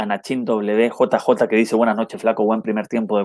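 Against a quiet background, a man's voice comes through dry, with no echo. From Chile. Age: 30s. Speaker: football commentator and YouTuber; football commentator streamer. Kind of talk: live stream match analysis with chat reading. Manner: halting with frequent repetitions; casual and friendly. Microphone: earbuds.

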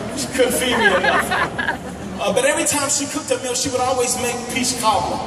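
Over background music and audible room echo, a man talks at a fairly quick pace with ordinary pitch variation. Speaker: guest. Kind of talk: sermon. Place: stage.

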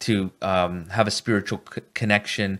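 A plain, everyday voice from a man, pitched fairly low, the intonation fairly even. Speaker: speaker. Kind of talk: lecture. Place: studio. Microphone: studio mic.

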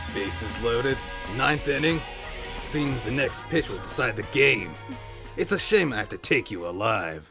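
Faint music plays behind a man doing a put-on character voice at a medium pitch and a moderate pace. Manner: menacing, gleeful punning.

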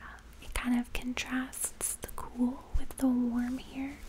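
A woman whispers in a gentle tone at a very slow pace. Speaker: home lifestyle creator. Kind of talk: casual vlog chat. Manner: soft-spoken, gentle and low. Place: home room. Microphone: studio mic.

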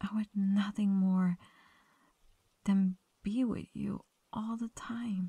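A woman talks at a very slow pace, with long, frequent pauses and a somewhat breathy, dark, mellow tone at medium pitch. Her intonation is monotone and flat, and the sound is dry and close with no echo. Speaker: ASMR roleplay performer. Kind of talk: whispered late-night girlfriend roleplay confession to a sleeping partner. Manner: hushed intimate whisper, tender and affectionate; slow, soft-spoken with occasional shy little laughs.

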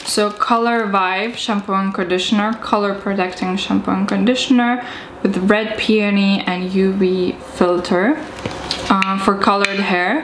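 A woman speaking at a fairly slow pace with fairly even intonation amid noticeable background noise. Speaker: vlogger. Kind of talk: casual vlog chat. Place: home room. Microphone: camera far.

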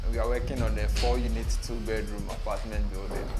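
Clear music sounds behind the speaker. He is a man talking at a moderate speed. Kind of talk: site introduction to camera.

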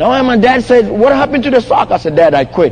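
A man with a Ghanaian accent speaks in an animated tone over noticeable background noise. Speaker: motivational speaker. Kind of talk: motivational speech. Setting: stage with audience at a conference. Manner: animated, engages audience with questions.

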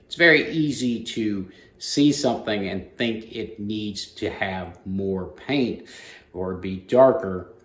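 Amid audible room echo, a man with a fairly low pitch speaks very slowly, with ordinary pitch variation and big swings in loudness. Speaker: airbrush art instructor. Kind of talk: tutorial. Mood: calm, explanatory. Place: workshop.

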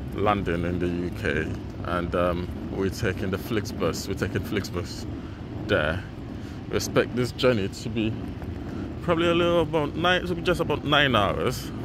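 With long, frequent pauses at a moderate pace, a man speaks in a dry sound with no echo as noticeable background noise plays. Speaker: travel vlogger. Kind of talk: casual vlog chat. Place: station. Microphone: phone near.

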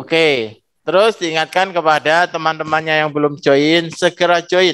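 A man in a plain, everyday voice speaks at a fairly high pitch and a fairly slow pace, with ordinary pitch variation. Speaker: school principal. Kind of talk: welcome speech. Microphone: video call.

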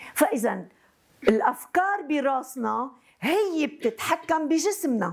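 A woman with a Lebanese accent speaks very slowly at a high pitch, with very wide pitch swings, against a quiet background. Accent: Lebanese Arabic with French code-switching. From Lebanon. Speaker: psychotherapist. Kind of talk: lecture. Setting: university hall with student audience. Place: classroom.

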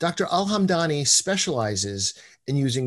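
With a quiet background, the talking keeps a moderate pace. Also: man. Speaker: host introducing a lecturer. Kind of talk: formal introduction. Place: home room. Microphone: video call.

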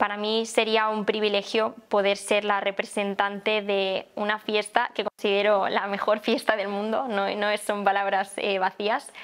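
A woman talks at a fairly slow pace. Her intonation is monotone and flat. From Valencia, Spain; Spain. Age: 20s. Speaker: plastic surgeon, festival queen candidate; candidate. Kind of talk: candidate interview. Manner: hesitant, with fillers. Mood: cheerful, smiling. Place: home room.

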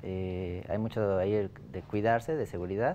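A man is speaking. His tone is dark and mellow. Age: 20s. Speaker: startup founder. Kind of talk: business pitch and interview.

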